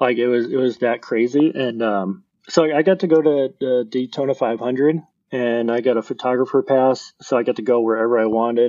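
A man speaks in an ordinary speaking voice at a medium pitch. His pitch varies in an ordinary way, and his pace is moderate. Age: 30s. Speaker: designer. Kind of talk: casual chat.

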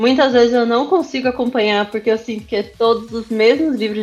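The voice has ordinary pitch variation. Music can be heard in the background. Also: woman. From São Paulo area, Brazil (Osasco). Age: 30s. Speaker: cosplayer and influencer manager. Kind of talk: casual interview chat.

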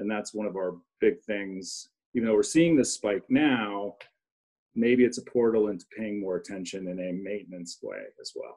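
An unremarkable speaking voice at a moderate pace. Pitch varies in an ordinary way, while loudness swings widely. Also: man, fairly low pitch for a man. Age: 50s. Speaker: clinical social worker. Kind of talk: panel discussion. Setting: video call.

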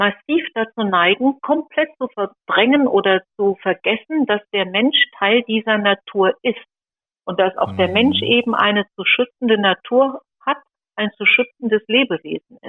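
A woman's ordinary speaking voice, fairly high in pitch, at a fairly slow pace with ordinary pitch variation. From Sauerland, western Germany. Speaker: leader of a pro-life association. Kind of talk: interview.

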